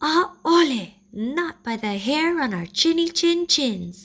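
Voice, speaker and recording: In a put-on character voice with a high pitch, the speaker goes at a fairly slow pace. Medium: read story.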